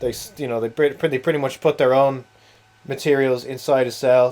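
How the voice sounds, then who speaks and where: Over noticeable background noise, a man with a Dublin accent speaks at a fairly quick pace in a flat monotone. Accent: Irish (Dublin area). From Ireland, Wicklow near Dublin. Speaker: video game streamer. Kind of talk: casual live-stream chat.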